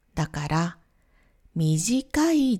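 A woman's dark, mellow, somewhat breathy voice with very wide pitch swings at a very slow pace. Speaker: Japanese language teacher. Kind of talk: simplified lesson podcast for learners. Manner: slow, simple phrasing.

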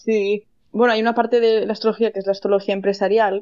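The woman's words come out very fast. Her intonation stays monotone and flat. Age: 30s. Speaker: astrologer. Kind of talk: interview.

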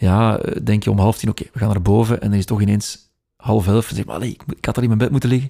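Speaking very fast with a Flemish accent, a man has a fairly low pitch and a dark, mellow tone. His pitch varies in an ordinary way on a very clean recording with a silent background. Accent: Flemish Dutch. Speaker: radio news reader. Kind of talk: casual interview chat. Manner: fast talker, slight stutter.

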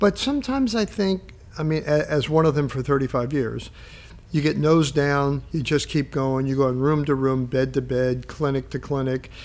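Here is a man with an unremarkable speaking voice and a fairly high pitch. He keeps a moderate pace and ordinary pitch variation. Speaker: podcast co-host, university health professions administrator. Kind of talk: casual interview conversation.

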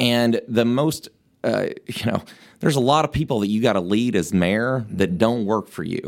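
A man with a Tennessee accent, medium pitch, ordinary pitch variation and a moderate pace. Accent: Southern US (Tennessee). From rural West Tennessee. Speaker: mayoral candidate, lawyer and state legislator. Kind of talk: interview.

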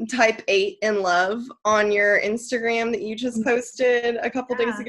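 Her tone is bright and sharp. The woman speaks at a fairly high pitch with ordinary pitch variation. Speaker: podcast co-host, business owner. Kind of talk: casual chat.

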